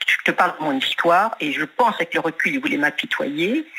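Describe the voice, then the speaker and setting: The speaker's intonation is lively, and noticeable noise sits in the background. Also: woman. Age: 70s. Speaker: caller, retired business owner. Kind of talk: testimony.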